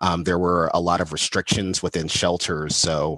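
In an American accent, a man with a very deep, low voice talks at a moderate pace with fairly even intonation, the sound dry and close with no echo. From Los Angeles, US. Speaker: communication studies professor. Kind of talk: interview.

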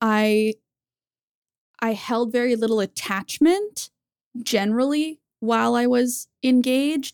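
An unremarkable speaking voice with ordinary pitch variation, in a very clean, silent recording that is dry and close with no echo. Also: woman. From Canada. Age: 30s. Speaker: YouTuber. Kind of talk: casual chat.

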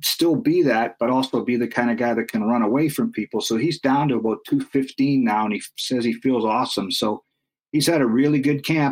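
A man with a Canadian accent has an unremarkable speaking voice of medium pitch, with ordinary pitch variation at a fairly quick pace. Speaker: football team website writer. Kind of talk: casual sports talk interview.

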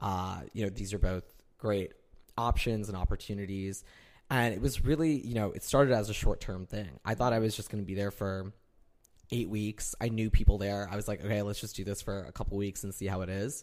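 An unremarkable speaking voice from a man with an American accent, fairly low in pitch with ordinary pitch variation, at a fairly quick pace on a very clean recording with a silent background. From Northern Illinois, US. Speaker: guest, friend of host, lives in New York. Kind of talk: casual chat between friends. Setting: recording in host's apartment.

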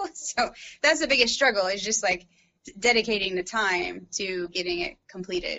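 Lively intonation marks an unremarkable speaking voice. The pace is moderate. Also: woman, medium pitch for a woman. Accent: American. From US Midwest, St. Louis, Missouri. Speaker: painter and lawyer. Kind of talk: casual interview.

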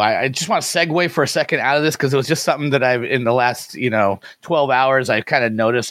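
An unremarkable speaking voice moves at a fairly quick pace with ordinary pitch variation. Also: man. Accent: American. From US Pacific Northwest. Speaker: fantasy basketball podcast host. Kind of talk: casual sports analysis chat.

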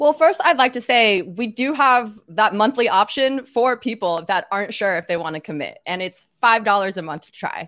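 An unremarkable speaking voice from a woman with an American accent, fairly high pitched for a woman, with lively intonation, big swings in loudness, a moderate pace and hardly any pauses. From US South, Little Rock, Arkansas. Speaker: podcaster and content creator for a tech company. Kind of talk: casual chat. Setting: live stream video call.

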